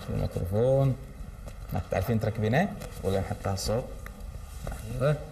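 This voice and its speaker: A man with a Kuwaiti accent speaks at a fairly slow pace. Light background noise can be heard. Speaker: children's TV presenter; TV presenter. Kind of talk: children's TV show, talking with schoolgirls. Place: studio. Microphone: lapel.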